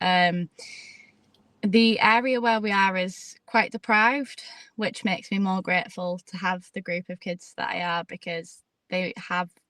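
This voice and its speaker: Moderate pace in a British accent, with ordinary pitch variation and a dry, close sound with no echo. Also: woman. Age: 20s. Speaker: jiu-jitsu competitor and school head of year. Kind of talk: interview.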